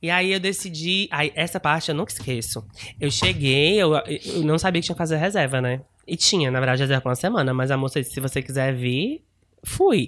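Against a quiet background, a man speaks at a fairly quick pace and a fairly high pitch. His pitch varies in an ordinary way, and it is an unremarkable speaking voice. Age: 20s. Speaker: podcast guest. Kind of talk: casual chat.

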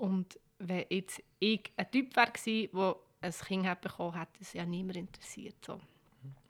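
At a moderate pace, a woman with a Bernese accent speaks at a medium pitch. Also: ordinary pitch variation. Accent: Bernese Swiss German. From Switzerland, Bern. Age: 20s. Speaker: head of a women's rights association. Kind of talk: casual interview. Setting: office, seated at a desk.

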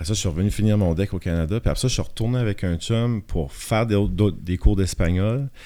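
A man speaks at a fairly quick pace and fairly low pitch, with ordinary pitch variation and a plain, everyday voice. The recording is very clean, with a silent background. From Acadian Peninsula, northern New Brunswick (Shippagan). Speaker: photographer. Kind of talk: casual chat.

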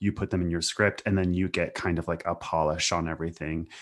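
Against a quiet background, a man with an American accent speaks in a very deep, low pitch with monotone, flat intonation. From US Pacific Northwest. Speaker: TV writer. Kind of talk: casual interview chat.

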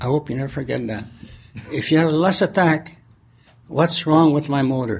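A man with a fairly high pitch and a somewhat breathy voice talks at a moderate pace with ordinary pitch variation and long, frequent pauses. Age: 80s+. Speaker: recovering addict. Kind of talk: testimony. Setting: stage with audience.

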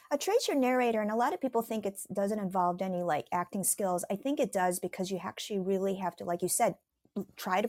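Talking at a very fast pace, a woman with an American accent speaks at medium pitch with ordinary pitch variation. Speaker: actress and model. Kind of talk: casual interview chat.

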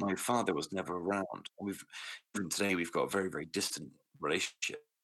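Talking at a very fast pace, a man with a British accent has a very deep, low pitch and a bright, sharp tone. His intonation stays fairly even. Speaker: podcast host. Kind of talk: personal story interview. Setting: remote call. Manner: soft-spoken, quiet.

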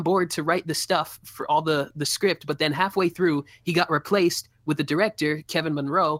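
Moving at a fairly quick pace, a woman speaks with ordinary pitch variation and a dry, close sound with no echo. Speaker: YouTube video game commentator. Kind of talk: casual chat.

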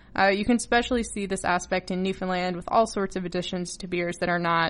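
She speaks at a fairly quick pace with an American accent and fairly even intonation, in an ordinary speaking voice. Her pitch is medium, and the background is quiet. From Massachusetts, US. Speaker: podcast host. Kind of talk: solo podcast talk.

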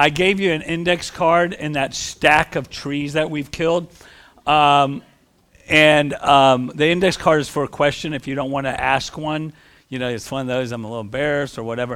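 A man's voice, fairly high in pitch, with ordinary pitch variation at a moderate pace. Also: very clean recording, silent background. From northern US. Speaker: pastor. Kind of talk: church talk. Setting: church fellowship hall with microphone.

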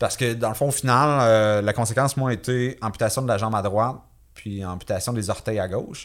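A man talks in an unremarkable speaking voice, pitched in the medium range with ordinary pitch variation. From Quebec, Victoriaville. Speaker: physical education teacher and survivor. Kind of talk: interview testimony. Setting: studio, in person.

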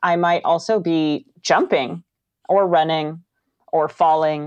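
Against a quiet background, a woman with an American accent talks at a fairly low pitch. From Northern California. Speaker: foley artist. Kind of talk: interview.

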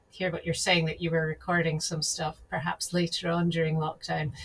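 Pitched fairly low, the woman's voice comes across somewhat breathy. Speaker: podcast host. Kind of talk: casual interview.

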